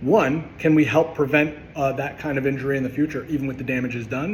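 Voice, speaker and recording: A man's fairly high voice at a very fast pace, with noticeable background noise and audible room echo. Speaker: chiropractor. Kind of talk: educational monologue. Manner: passionate, with filler words.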